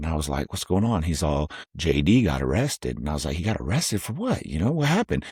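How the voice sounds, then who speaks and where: A man's very deep, low voice with vocal fry and an American accent, very fast in pace, ordinary pitch variation, dry, close sound with no echo. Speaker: YouTube host. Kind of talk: casual storytelling. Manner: loud.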